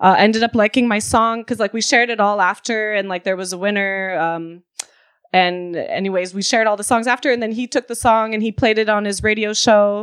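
A woman with a plain, everyday voice talks at a fairly quick pace and a fairly high pitch, with fairly even intonation, in a dry, close sound with no echo. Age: 20s. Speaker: DJ and producer. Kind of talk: interview. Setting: remote call.

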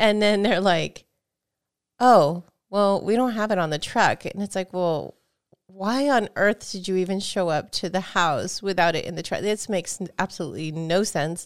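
A woman speaks in an ordinary speaking voice at medium pitch and a moderate pace, with ordinary pitch variation, on a very clean recording with a silent background. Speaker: gaming podcast co-host and game reviewer. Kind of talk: casual chat. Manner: laughs often.

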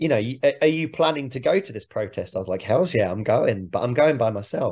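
Very fast and lively in intonation, a man talks in a somewhat breathy voice. The background is quiet. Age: 30s. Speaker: rock musician. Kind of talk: interview.

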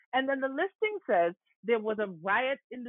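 With a New York accent, a woman speaks at a fairly slow pace, her pitch swinging very widely. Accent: New York American. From New York, the Bronx, to Antiguan parents. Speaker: history professor and author. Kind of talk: interview.

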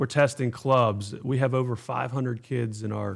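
An ordinary speaking voice from a man with an American accent, medium in pitch, at a moderate pace with fairly even intonation, on a very clean recording with a silent background. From Pittsburgh area, Pennsylvania. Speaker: youth golf organization executive. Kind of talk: casual interview.

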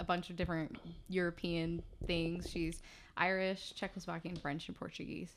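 An ordinary speaking voice at a moderate pace comes through on a very clean recording with a silent background. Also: woman. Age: 20s. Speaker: podcast guest. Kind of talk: casual chat.

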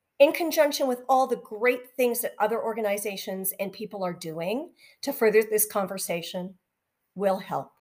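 In a Canadian accent, a woman uses a plain, everyday voice, fairly high in pitch, with lively intonation at a moderate pace. The recording is very clean, with a silent background. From Western Canada (near Vancouver). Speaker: podcast host. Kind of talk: podcast monologue.

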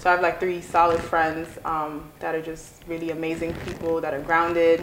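A woman is speaking. Her pace is moderate, and noticeable background noise is present. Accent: American. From Guyana, then New York from age 9. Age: 20s. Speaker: academic advisor. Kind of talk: casual interview chat. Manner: calm, gentle.

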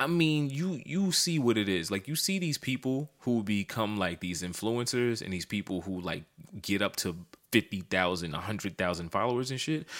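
On a very clean recording with a silent background, a man with a fairly low pitch speaks at a moderate pace in an animated tone, his pitch swinging very widely. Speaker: podcast co-host. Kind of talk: casual chat.

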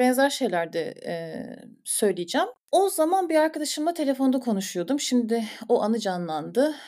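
Her voice high with very wide pitch swings, a woman speaks at a moderate pace in a dark, mellow tone. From Istanbul, Turkey. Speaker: clinical psychologist. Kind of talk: podcast interview.

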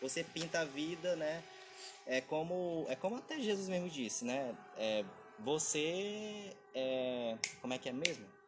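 A man with a fairly high pitch speaks at a fairly slow pace, with lively intonation and long, frequent pauses. There is noticeable background noise. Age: 20s. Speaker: podcast co-host. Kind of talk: casual chat.

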